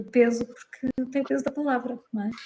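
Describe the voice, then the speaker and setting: This woman's voice is somewhat breathy, with a dark, mellow tone, fairly even intonation and a moderate pace. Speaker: psychologist and wedding celebrant. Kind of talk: interview conversation. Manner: calm; hesitant fillers.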